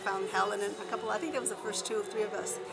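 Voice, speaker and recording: A woman with a Spanish accent, plus audible room echo and noticeable background noise. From Alviso, San Jose, California. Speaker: teacher and former student activist. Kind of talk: interview reminiscence.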